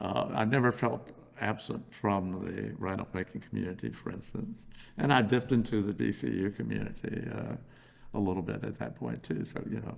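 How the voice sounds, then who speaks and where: With an American accent, a man talks at a very deep, low pitch, with vocal fry. His pitch swings very widely. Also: moderate pace. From Virginia, USA. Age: 70s. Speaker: anti-war activist, oral history interviewee. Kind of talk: oral history interview answer.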